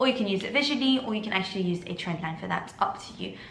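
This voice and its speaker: With noticeable background noise and audible room echo, a woman talks very fast at a medium pitch. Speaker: trading educator. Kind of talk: tutorial.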